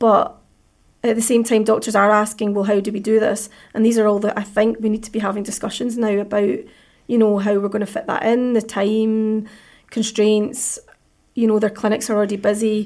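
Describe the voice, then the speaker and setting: Speech comes fairly quickly with a Scottish accent. The intonation stays flat and monotone. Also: woman, fairly high pitch for a woman. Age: 40s. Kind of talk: interview.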